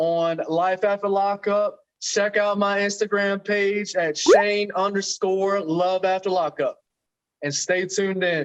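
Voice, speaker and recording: An American accent comes through as a man speaks at a high pitch and a fairly slow pace, his intonation monotone and flat. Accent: strong country. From Florida, US South. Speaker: reality TV personality. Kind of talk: casual interview chat.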